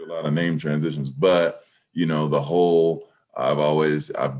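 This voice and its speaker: A man speaks with a very deep, low pitch at a moderate pace. His intonation stays monotone and flat. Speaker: PA announcer. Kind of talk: interview answer. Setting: video call.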